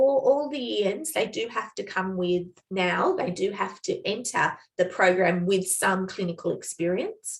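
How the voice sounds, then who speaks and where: A woman with an Australian accent speaks at a medium pitch. Her pace is fairly slow, with hardly any pauses. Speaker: nursing educator. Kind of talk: training presentation with Q&A.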